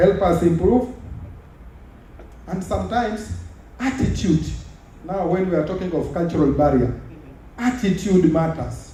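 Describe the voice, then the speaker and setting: A man with an American accent and a high pitch speaks at a moderate pace with ordinary pitch variation and long, frequent pauses, amid audible room echo. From Kenya. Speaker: government official. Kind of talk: conference speech. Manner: formal.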